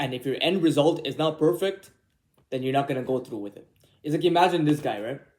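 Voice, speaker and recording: This man talks at a very fast pace with a fairly high pitch, ordinary pitch variation, and big swings in loudness. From immigrant to Canada, born abroad. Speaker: YouTuber. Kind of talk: casual vlog monologue. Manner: casual, rambling with fillers.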